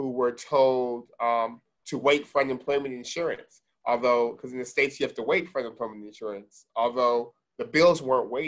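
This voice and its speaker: The background is quiet while a man speaks. His pace is fairly quick and his intonation fairly even. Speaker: guest. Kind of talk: interview answer. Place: office. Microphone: video call.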